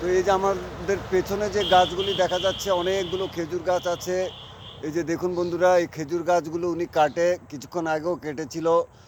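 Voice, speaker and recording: Against noticeable background noise, a man speaks in a high pitch with monotone, flat intonation. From Bangladesh, Lakshmipur district. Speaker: video blogger. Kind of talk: vlog interview.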